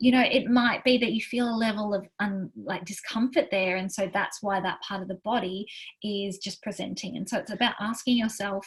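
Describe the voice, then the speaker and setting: This woman's voice is somewhat breathy. Her pitch sits fairly high. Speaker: wellness coach. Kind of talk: workshop talk. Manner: fast; animated.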